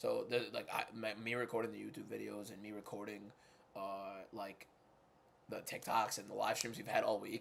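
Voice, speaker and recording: Using a put-on character voice, a man with a fairly low pitch speaks at a moderate pace, sounding hoarse and raspy. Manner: regular voice.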